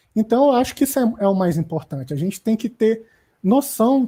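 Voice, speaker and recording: Somewhat breathy, a woman's dark, mellow tone comes through at a moderate pace. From Brasília, Brazil. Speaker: designer. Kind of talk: online panel discussion.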